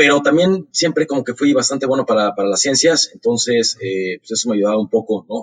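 A man at medium pitch with lively intonation, at a fairly quick pace with hardly any pauses, in a dry, close sound with no echo. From Mexico, Mexico City. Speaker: startup founder and CEO. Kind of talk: interview. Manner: halting, frequent word repetitions.

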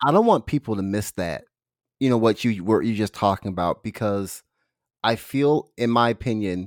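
An unremarkable speaking voice with ordinary pitch variation, a dry, close sound with no echo, and a very clean recording with a silent background. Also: man. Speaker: podcast host, health coach. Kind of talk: casual interview. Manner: informal, friendly.

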